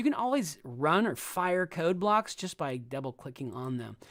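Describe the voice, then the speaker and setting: A man at a moderate pace, animated and lively in intonation, in a very clean recording with a silent background. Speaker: coding teacher. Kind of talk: live coding tutorial. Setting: live stream.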